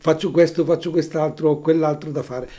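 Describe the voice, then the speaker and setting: A man's fairly high-pitched voice, dark and mellow in tone, with fairly even intonation. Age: 70s. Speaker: priest and radio host. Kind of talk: radio call-in show.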